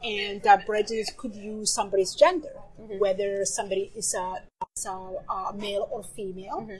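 Music plays in the background while a woman speaks at a moderate speed, her pitch varying in an ordinary way. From Somalia. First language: Somali. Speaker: novelist. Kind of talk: interview. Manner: halting.

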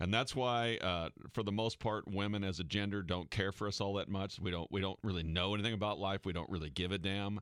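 A man with an American accent and an ordinary speaking voice talks at a fairly quick pace, with hardly any pauses. His fairly low pitch stays fairly even, his loudness very even, in a very clean recording with a silent background. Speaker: radio host and caddy. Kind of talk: sports radio talk show. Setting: radio studio.

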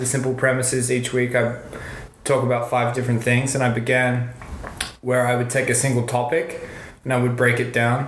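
Fairly quick speech from a man with an Australian accent and medium pitch, amid noticeable background noise and audible room echo. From Western Australia. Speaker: podcaster and performer. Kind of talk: casual chat.

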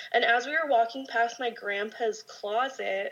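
A woman's fairly high voice moves along at a moderate pace. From Southern California, Orange County. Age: 20s. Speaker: makeup artist sharing paranormal stories. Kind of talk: casual chat, storytelling.

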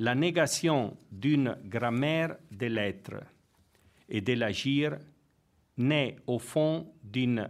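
A man with a non-native accent, speaking at a very slow pace. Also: very clean recording, silent background. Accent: foreign. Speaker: theology professor and priest. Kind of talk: lecture.

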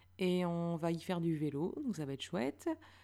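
On a very clean recording with a silent background, a woman speaks at a fairly low pitch in a dark, mellow tone. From northern France, Lille. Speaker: podcaster. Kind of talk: solo monologue. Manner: hesitant.

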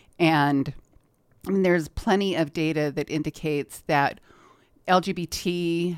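With ordinary pitch variation, a woman speaks on a very clean recording with a silent background. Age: 50s. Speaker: nonprofit anti-hunger advocate. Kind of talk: radio interview. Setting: radio studio.

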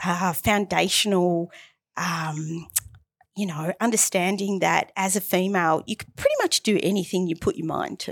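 In a very clean recording with a silent background, a woman at medium pitch speaks with an Australian accent, the sound dry and close with no echo. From Australia, Melbourne. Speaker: marketing business founder. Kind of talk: interview.

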